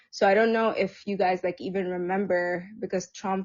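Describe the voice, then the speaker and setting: A woman in an Arabic accent, at medium pitch and moderate pace, with fairly even intonation. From Egypt. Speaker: social service provider. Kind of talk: casual chat. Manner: halting, many fillers.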